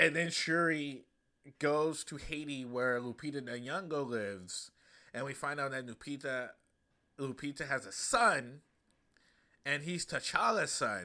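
With a bright, sharp tone and lively intonation, a man speaks at a fairly slow pace with long, frequent pauses in a very clean recording with a silent background. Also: fairly high pitch for a man. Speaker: stand-up comedian and podcast host. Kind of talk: casual solo podcast monologue. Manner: casual, many fillers.

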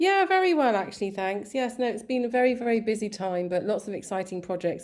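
A woman with a southern English accent talks at a fairly quick pace, her pitch varying in an ordinary way. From England, raised there from about age five. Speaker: artist and social media page founder. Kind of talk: interview. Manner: halting, many fillers.

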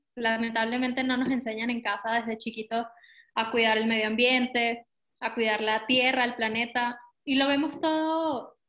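A woman talks at a moderate pace in a high pitch. Her intonation is fairly even. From Venezuela. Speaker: eco shop founder. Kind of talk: interview.

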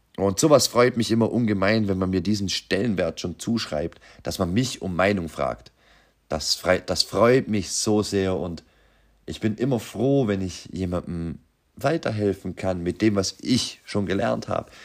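A man's fairly low voice, lively in intonation and at a fairly slow pace, on a very clean recording with a silent background. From Austria, Vorarlberg. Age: 30s. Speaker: podcast host, aspiring entrepreneur. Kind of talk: unscripted monologue. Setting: home workshop.

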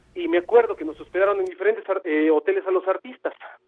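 Here a man is talking. He moves at a fairly quick pace. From Veracruz port, Mexico. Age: 50s. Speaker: musician. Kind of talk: phone-in storytelling. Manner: halting, repeats words.

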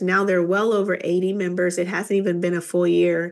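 A woman speaks with an American accent at a medium pitch. Her intonation is fairly even, in a plain, everyday voice. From Kansas, rural. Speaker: business executive, chamber of commerce president. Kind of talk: interview testimony.

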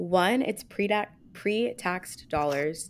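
On a very clean recording with a silent background, a woman with an unremarkable speaking voice talks in a fairly low pitch with lively intonation. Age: 20s. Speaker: podcast co-host. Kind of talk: casual chat.

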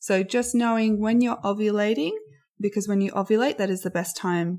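Heard on a very clean recording with a silent background, a woman with an Australian accent talks at a moderate pace, her medium pitch varying in an ordinary way. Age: 30s. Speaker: podcast host. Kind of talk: personal storytelling. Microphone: poor audio quality.

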